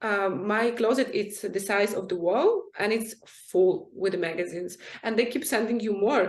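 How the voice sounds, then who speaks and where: A woman with a non-native accent at a medium pitch, moderate pace and ordinary pitch variation, amid noticeable background noise. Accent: foreign accent in all her languages. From Ukraine and Syria. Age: 20s. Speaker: fashion model. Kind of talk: interview.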